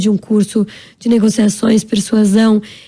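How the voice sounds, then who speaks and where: This is a woman's voice. It has a dark, mellow tone and is somewhat breathy. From Brazil, São Paulo. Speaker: actress and entrepreneur. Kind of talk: interview. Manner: fast; animated.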